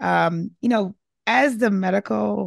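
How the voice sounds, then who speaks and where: A woman speaks in a warm, enthusiastic tone. The background is quiet. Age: 40s. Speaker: podcast host and emergency physician. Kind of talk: interview conversation.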